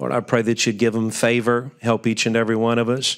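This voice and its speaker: A man speaks fairly quickly with a quiet background behind him. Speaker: pastor giving invocation. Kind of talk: prayer. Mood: calm, reverent. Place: hall. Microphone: podium.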